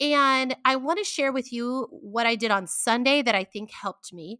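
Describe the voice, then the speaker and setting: Her high-pitched voice has a bright, sharp tone and an animated delivery at a moderate pace. The woman's recording is very clean, with a silent background and a dry, close sound with no echo. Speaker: podcast host. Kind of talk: solo podcast monologue. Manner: loud, talkative; animated, chatty.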